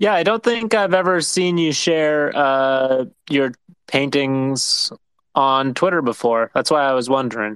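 It is a plain, everyday voice with lively intonation. The pace is fairly slow and the loudness very even. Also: man, fairly high pitch for a man. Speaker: podcast co-host. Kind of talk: interview.

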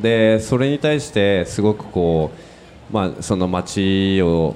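A man at a fairly slow pace, very deep and low in pitch, with ordinary pitch variation. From Tokyo. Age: 40s. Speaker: business owner. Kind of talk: panel discussion. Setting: live recording with audience.

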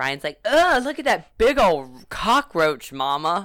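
Fairly slow speech in a Louisiana accent. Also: woman, very clean recording, silent background. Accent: Louisiana Southern US. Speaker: podcast host. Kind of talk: casual chat. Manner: animated.

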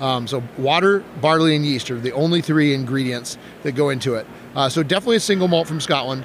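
Noticeable background noise surrounds a man speaking very fast. His pitch is fairly high, with ordinary pitch variation. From Wisconsin. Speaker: game designer and art school director. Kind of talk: casual interview. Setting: live at a game convention.

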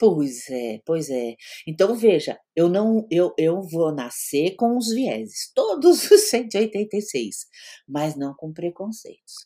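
A woman's very slow, dark and mellow voice at medium pitch, with very wide pitch swings and big swings in loudness, on a very clean recording with a silent background. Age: 60s. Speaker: psychologist. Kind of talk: interview.

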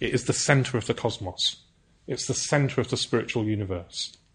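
A somewhat breathy voice moves at a fairly quick pace against a quiet background. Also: man. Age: 40s. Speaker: Buddhist teacher. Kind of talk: dharma talk. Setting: centre with live audience. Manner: hesitant with fillers.

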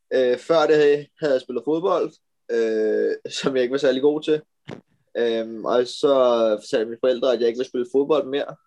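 Here a man talks at a moderate pace with a medium pitch and ordinary pitch variation. His tone is dark and mellow, and the sound is dry and close with no echo. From Denmark, Amager (Copenhagen). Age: 20s. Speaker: professional road cyclist. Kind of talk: interview. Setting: video call.

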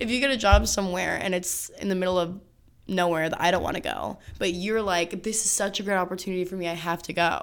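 Talking at a very fast pace, a woman keeps fairly even intonation with vocal fry. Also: medium pitch for a woman. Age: 20s. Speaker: podcast host. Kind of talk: casual chat.

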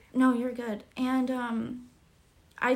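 High female voice, with room echo audible. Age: 20s. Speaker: graphic designer. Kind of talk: casual chat. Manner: hesitant, filler-heavy.

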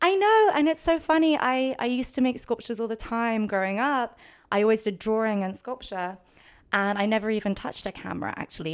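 With an English accent, a woman speaks in a fairly high pitch and lively intonation. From London, England. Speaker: painter and photographer. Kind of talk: casual interview. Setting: home art studio.

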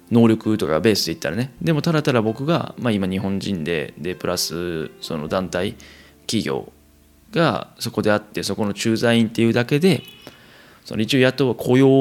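A man in a Kansai accent with very wide pitch swings and a moderate pace, amid noticeable background noise. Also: medium pitch for a man. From Kansai, Japan. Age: 20s. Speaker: podcast host, expatriate worker. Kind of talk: solo casual monologue.

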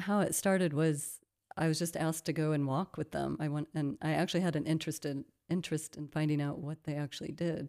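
A woman's very deep, low voice with a dark, mellow tone, flat monotone intonation and a very fast pace, on a very clean recording with a silent background. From US Midwest. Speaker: missionary. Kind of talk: interview.

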